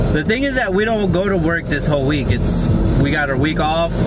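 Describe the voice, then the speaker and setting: A man at a moderate pace with ordinary pitch variation, dry with no echo, music in the background. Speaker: vlogger. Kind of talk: casual vlog chat. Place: car. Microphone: phone near.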